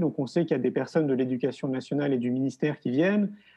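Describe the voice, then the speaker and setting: The pace is fairly quick. A man speaks with ordinary pitch variation. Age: 40s. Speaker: filmmaker and education event organizer. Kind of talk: interview. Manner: hesitant with fillers.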